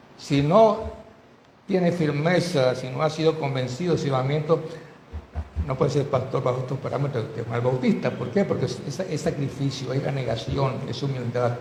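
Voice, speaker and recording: At a moderate pace, a man speaks with a fairly high pitch and ordinary pitch variation. Audible room echo surrounds his voice. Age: 70s. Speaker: pastor. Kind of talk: sermon.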